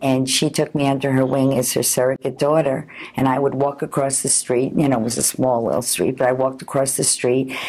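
With an American accent, a woman speaks at a fairly quick pace in a very deep, low voice, with monotone, flat intonation, very even loudness, and hardly any pauses. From Long Island, New York. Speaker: food columnist, cookbook author and lecturer. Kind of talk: oral history interview answer. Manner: conversational, reminiscing. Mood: warm, nostalgic. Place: home room.

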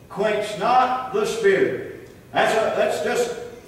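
A man's warm tone, extremely high in pitch with very wide swings, at a very slow pace in strong room echo. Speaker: preacher. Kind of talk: sermon. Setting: church. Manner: earnest, unhurried preaching cadence with pauses and repeated phrases; warm, exhorting, plainspoken. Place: church. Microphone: camera far.

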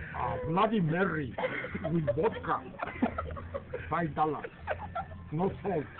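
There are long, frequent pauses as a man talks at a very slow pace. Loud background noise runs underneath. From Mexico. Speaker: grandfather treating family to dinner. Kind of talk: reading a receipt aloud. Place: cafe.

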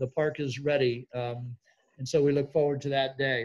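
A man talks at a moderate pace. His intonation stays fairly even. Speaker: seminar host. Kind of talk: event welcome and housekeeping. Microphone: video call.

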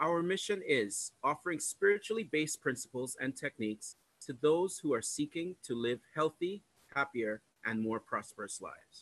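Lively in intonation and fairly high in pitch, a man speaks at a moderate pace, the sound dry with no echo and the background quiet. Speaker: church greeter. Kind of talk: announcements. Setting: church. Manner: formal. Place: home room. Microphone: video call.

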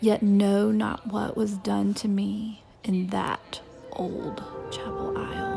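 Very slow speech from a woman over background music. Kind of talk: poetry reading.

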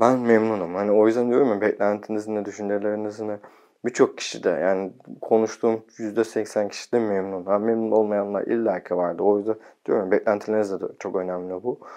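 Against a quiet background, a man speaks at a fairly quick pace with a fairly low pitch, a dark, mellow tone and monotone, flat intonation. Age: 30s. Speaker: video blogger. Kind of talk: casual vlog talk. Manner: sometimes fast. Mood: calm, content. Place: home room. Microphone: lapel.

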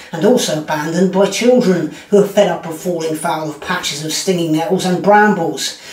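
Speech comes at a fairly quick pace with audible room echo. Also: man. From Britain. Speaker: comedian. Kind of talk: commentary monologue. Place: home room.

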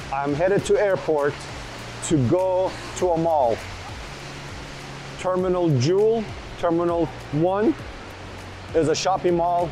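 Noticeable background noise sits behind speech whose pitch variation is ordinary. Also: man. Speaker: family travel vlogger. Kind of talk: casual vlog chat. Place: hall. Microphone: lapel.

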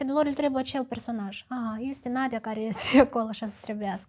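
At a moderate pace, a woman talks in a high pitch. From Moldova, Chișinău; Moldova. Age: 20s. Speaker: actress. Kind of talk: personal monologue. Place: studio. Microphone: lapel.

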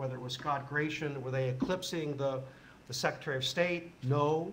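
Through noticeable background noise, a man speaks at a moderate pace with a fairly high pitch. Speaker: former government spokesman, now lecturer. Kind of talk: panel discussion. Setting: conference stage with audience. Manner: halting, many fillers and repetitions.

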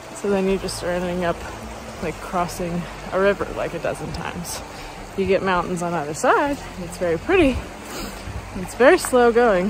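A woman speaks with ordinary pitch variation and long, frequent pauses. The sound is dry with no echo, though background noise is noticeable. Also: moderate pace. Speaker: long-distance hiker vlogger. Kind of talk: casual vlog chat. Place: open country. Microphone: phone near.

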